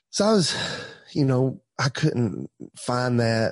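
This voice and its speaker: Recorded dry and close with no echo, a man with an Appalachian accent speaks at a medium pitch. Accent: Southern US (Appalachian). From Tellico Plains, East Tennessee, US. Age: 30s. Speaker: pastor. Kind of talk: casual interview, testimony.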